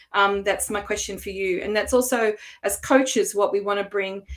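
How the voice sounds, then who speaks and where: With an Australian accent, a woman speaks at a medium pitch with fairly even intonation. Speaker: coach and former language teacher. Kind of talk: online workshop presentation. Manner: hesitant, many fillers.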